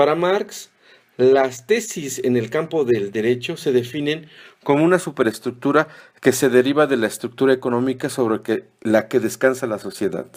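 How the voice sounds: The tone is slightly mellow, with ordinary pitch variation. Delivery moves at a moderate pace. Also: man, medium pitch for a man.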